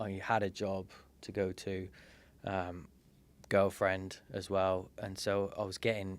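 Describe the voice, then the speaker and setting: A man speaks in a British accent. His pitch sits fairly low. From Britain. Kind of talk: interview answer. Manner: witty, storytelling.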